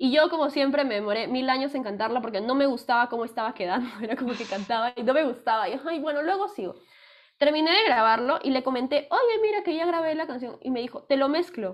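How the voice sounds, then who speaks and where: A woman speaks very fast in a high voice, her tone animated and her intonation lively. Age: 20s. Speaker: music student and singer. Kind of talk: casual chat. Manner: talkative.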